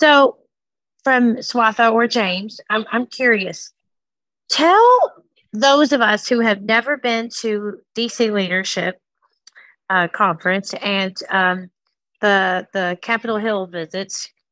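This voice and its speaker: A woman with a fairly high voice speaks very slowly in a bright, sharp tone, with ordinary pitch variation and long, frequent pauses. The sound is dry and close, without echo. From Kentucky. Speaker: audience member asking questions. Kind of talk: audience question.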